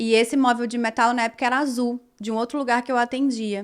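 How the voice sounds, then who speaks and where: Fairly quick and fairly even, a woman with a fairly high pitch and a plain, everyday voice speaks on a very clean recording with a silent background. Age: 30s. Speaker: dermatologist. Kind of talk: personal storytelling vlog. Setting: her consulting room.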